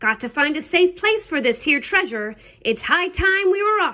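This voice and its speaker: Putting on a character voice, a woman bellows loudly in a gruff, extremely high voice at a moderate pace. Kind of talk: storybook pirate voice. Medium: read story. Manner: loud, gruff, bellowing.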